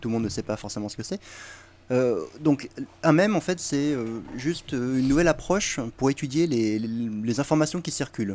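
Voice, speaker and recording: Against a quiet background, a man with a medium-pitched voice speaks at a moderate pace. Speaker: guest. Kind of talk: casual chat, explaining urban legends.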